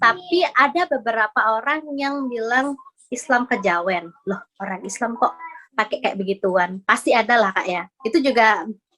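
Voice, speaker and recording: Intonation is lively here, and the pace is moderate. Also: woman, fairly high pitch for a woman. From Bali, Indonesia (Denpasar). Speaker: convert to Islam, housewife. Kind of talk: interview testimony. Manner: casual, halting with fillers.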